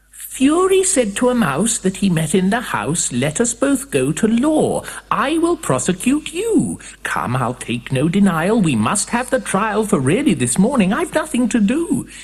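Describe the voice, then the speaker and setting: In a put-on character voice, a female-sounding speaker squeaks at a fairly high pitch with very wide pitch swings and a moderate pace. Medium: read story. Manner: indignant, cross.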